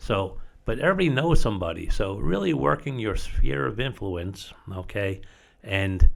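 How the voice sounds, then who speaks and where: A man with an American accent talks at a moderate pace. His voice is fairly low, with lively intonation. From Long Island, New York. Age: 60s. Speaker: real estate company co-owner. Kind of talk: podcast interview. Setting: studio.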